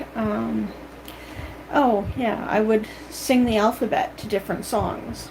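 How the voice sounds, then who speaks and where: Speaking very slowly with long, frequent pauses, a woman with a Canadian accent is heard over noticeable background noise. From Canada. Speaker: vlogger. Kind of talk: casual monologue.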